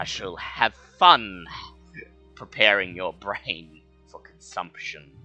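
A put-on character voice with a low pitch and menacing tone speaks at a fairly slow pace with long, frequent pauses, faint music playing in the background. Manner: ominous, menacing.

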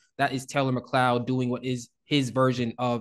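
A normal speaking voice moves at a moderate pace against a quiet background. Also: man. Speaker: podcast host. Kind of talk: casual chat, music reaction podcast.

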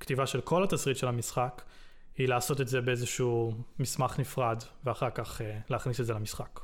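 Speaking in an ordinary speaking voice, a man of medium pitch talks at a fairly quick pace with fairly even intonation. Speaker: game developer. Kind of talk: interview.

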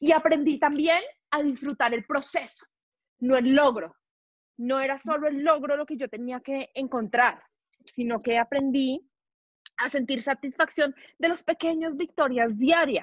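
A loud woman with a high pitch and an animated tone, at a fairly slow pace with ordinary pitch variation and long, frequent pauses. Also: dry, close sound with no echo. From Colombia, Bogotá. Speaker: marketing professional. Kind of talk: interview conversation.

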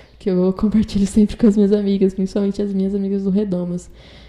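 A woman speaks with a dark, mellow tone and a somewhat breathy quality. Her intonation is fairly even. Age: 20s. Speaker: journalism student. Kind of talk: personal testimony.

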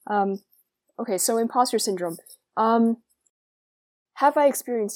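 A woman with an American accent at a moderate pace, ordinary pitch variation, and a very clean recording with a silent background. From US Northeast (suburban New Jersey). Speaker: college radio co-host and student journalist. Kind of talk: casual interview conversation. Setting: radio studio.

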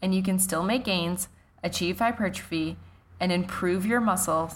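This woman has an unremarkable speaking voice, talking at a moderate pace with a medium pitch, ordinary pitch variation and a Canadian accent. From Canada. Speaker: fitness coach and podcast host. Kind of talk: solo podcast monologue.

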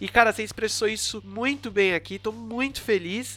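A man projects a raised voice with a bright, sharp tone and high pitch, speaking at a moderate pace with ordinary pitch variation. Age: 20s. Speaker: podcast host. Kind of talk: casual interview chat.

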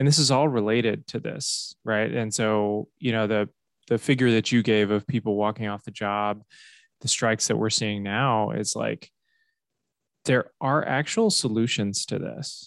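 A man's medium-pitched voice with a General American accent at a moderate pace, dry and close with no echo, over a quiet background. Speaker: podcast host. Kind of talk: casual chat. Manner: animated, joking.

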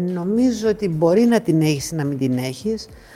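A woman speaks at a moderate pace in a dark, mellow tone. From Greece. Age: 50s. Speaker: athlete. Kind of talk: interview.

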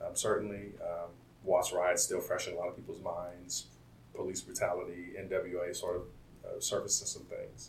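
A man talks at a moderate pace. The room gives off audible echo. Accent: American. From Compton, California. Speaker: software engineer. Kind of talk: interview. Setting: office campus.

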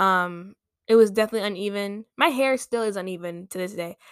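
On a very clean recording with a silent background, a woman of medium pitch speaks fairly quickly. Her tone is animated, with ordinary pitch variation. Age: 20s. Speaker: podcast host and journalism student. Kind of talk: casual chat.

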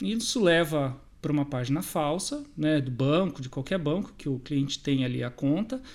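A man speaks in an unremarkable speaking voice, fairly high in pitch, with ordinary pitch variation at a moderate pace. There are hardly any pauses, and the recording is very clean with a silent background. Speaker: bank cybersecurity and fraud prevention adviser. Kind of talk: interview.

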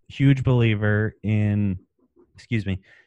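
A man speaks at a fairly slow pace, his pitch fairly low. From US, Maryland. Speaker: entrepreneur. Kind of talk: interview.

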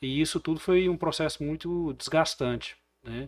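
A man talks in an ordinary speaking voice in a very clean recording with a silent background. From Brazil, Goiás (Porangatu). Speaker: businessman and former mayoral candidate. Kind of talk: casual chat.

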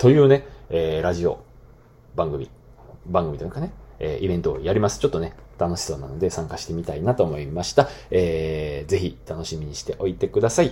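A man's very deep, low voice at a fairly quick pace, with very wide pitch swings and big swings in loudness. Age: 30s. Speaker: podcast host, former school teacher. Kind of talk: solo talk podcast monologue. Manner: casual with many fillers.

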